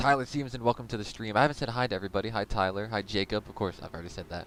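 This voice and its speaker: This man talks at a very fast pace in a fairly low pitch, with ordinary pitch variation. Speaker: sim racing league streamer and commentator. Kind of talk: live commentary. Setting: live stream. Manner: casual and conversational. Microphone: mic quality said to be good and crisp.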